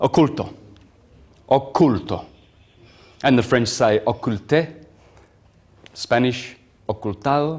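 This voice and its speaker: A man's medium-pitched voice moves very slowly, broken by long, frequent pauses, with ordinary pitch variation. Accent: Italian. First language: Italian. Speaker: lecturer on astrology and esoteric topics. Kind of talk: lecture to a live audience. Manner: halting, many fillers.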